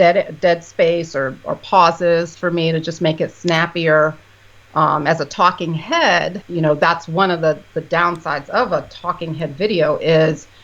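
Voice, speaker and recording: Her pitch is fairly low and her intonation fairly even. The woman talks at a fairly slow pace. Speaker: psychiatrist and YouTuber. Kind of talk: casual chat.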